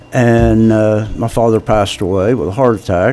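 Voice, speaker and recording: An American accent at a moderate pace, with fairly even intonation over noticeable background noise. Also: man. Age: 70s. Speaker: political candidate. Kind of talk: interview.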